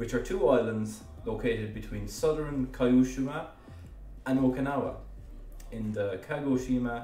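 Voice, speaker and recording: A man with an Irish accent speaks at a moderate pace with long, frequent pauses. Music plays in the background, and there is audible room echo. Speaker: educational YouTuber. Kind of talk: narrated explainer. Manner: casual with hesitations.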